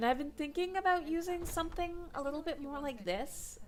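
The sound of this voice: Over noticeable background noise, a woman puts on a nasal character voice at an extremely high pitch and a fairly quick pace.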